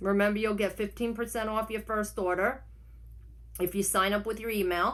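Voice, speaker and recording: Bright and sharp in tone, a woman with a New York accent speaks at medium pitch and a moderate pace. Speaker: online reseller vlogger. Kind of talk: casual vlog tutorial. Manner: unedited, rambling self-corrections.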